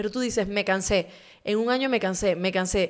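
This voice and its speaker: A woman's unremarkable speaking voice at a moderate pace, with ordinary pitch variation and a quiet background. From Ecuador. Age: 30s. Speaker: journalist and interview show host. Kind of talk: casual interview chat. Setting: studio. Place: studio. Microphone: studio mic.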